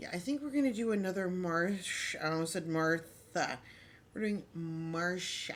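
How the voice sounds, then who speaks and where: A woman's lively intonation at a fairly slow pace. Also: fairly low pitch for a woman. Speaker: crafting livestreamer. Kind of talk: casual livestream chat. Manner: animated.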